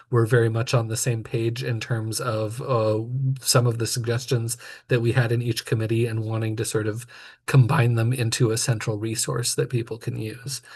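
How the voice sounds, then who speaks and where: A man speaks at a medium pitch with monotone, flat intonation. His voice is somewhat breathy against a quiet background. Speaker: committee member presenting plan. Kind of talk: public meeting presentation. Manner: fast.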